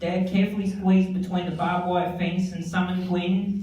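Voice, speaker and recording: A man in an Australian accent, high-pitched, monotone and flat, at a moderate pace, with audible room echo and noticeable background noise. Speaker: son giving eulogy. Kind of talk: eulogy.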